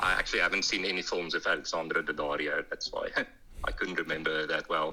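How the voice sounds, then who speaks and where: With a strong South African accent, a man talks at a very fast pace. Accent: strong Afrikaans. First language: Afrikaans. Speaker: author. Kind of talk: casual chat.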